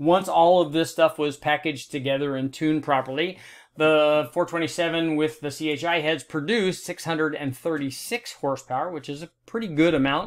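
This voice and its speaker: In a quiet setting, a man with a fairly high voice talks at a fairly slow pace. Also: hardly any pauses. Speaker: automotive engine tester and video host. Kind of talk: technical explainer video. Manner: casual, enthusiastic.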